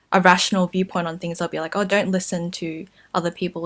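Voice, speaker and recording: On a very clean recording with a silent background, a woman with a fairly low pitch talks at a fairly quick pace in a monotone, flat intonation. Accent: Australian. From Australia. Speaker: YouTuber. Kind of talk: casual talk to camera.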